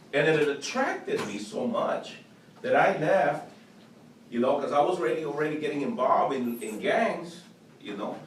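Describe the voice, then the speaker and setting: A man's fairly high voice with very wide pitch swings at a moderate pace, amid audible room echo and noticeable background noise. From El Salvador, raised in Los Angeles. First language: Spanish. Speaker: former gang member, youth program leader. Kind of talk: class talk. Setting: classroom. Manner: repetitive stammering starts.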